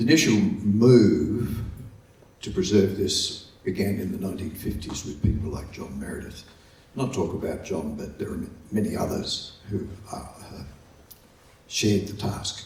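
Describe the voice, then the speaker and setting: A man with an Australian accent, lively intonation and big swings in loudness, long, frequent pauses, and audible room echo. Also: fairly low pitch for a man, moderate pace. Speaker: folk music archivist. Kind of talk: conference presentation. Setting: conference hall with audience, microphone. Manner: halting.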